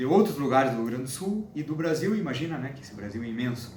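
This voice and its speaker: A man speaks at a medium pitch, with audible room echo and noticeable background noise. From southern Brazil, Uruguay border (Santana do Livramento, RS). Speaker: linguistics doctoral student. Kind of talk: interview. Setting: host's apartment. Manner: halting, many restarts and fillers.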